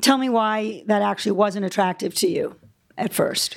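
Speaking at a moderate pace, a woman with an ordinary speaking voice has a medium pitch and ordinary pitch variation. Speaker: interviewer. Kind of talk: live interview. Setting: stage with audience.

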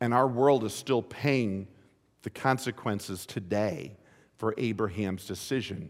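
On a very clean recording with a silent background, a man at medium pitch speaks in an ordinary speaking voice with ordinary pitch variation at a fairly slow pace. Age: 50s. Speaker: pastor. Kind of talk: sermon. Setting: church.

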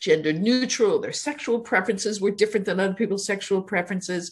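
Delivered fairly briskly, the speech is somewhat breathy, with normal pitch movement. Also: woman. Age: 60s. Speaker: district attorney. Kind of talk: casual interview.

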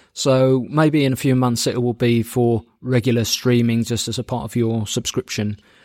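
Speaking at a moderate pace with hardly any pauses, a man with an American accent keeps a medium pitch and fairly even intonation. The recording is very clean, with a silent background. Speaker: podcast host. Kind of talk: interview chat.

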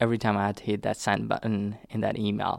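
A man speaks with a Nepali accent. The recording is very clean, with a silent background. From southern Nepal. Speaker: immigrant interviewee. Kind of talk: oral history interview.

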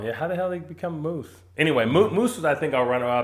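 Here is a man with an ordinary speaking voice. He talks at a fairly quick pace with lively intonation. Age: 40s. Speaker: sports podcast host. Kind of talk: casual chat.

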